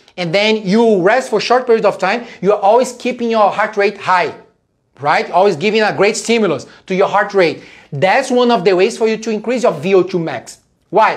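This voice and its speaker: A man speaks at a high pitch with a Portuguese accent. His tone is animated. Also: ordinary pitch variation, moderate pace. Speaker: fitness coach. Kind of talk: live stream talk.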